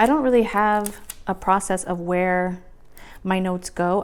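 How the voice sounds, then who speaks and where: A woman speaks in an ordinary speaking voice. Her intonation stays fairly even. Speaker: planner video creator. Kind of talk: casual tutorial. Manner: casual with many fillers.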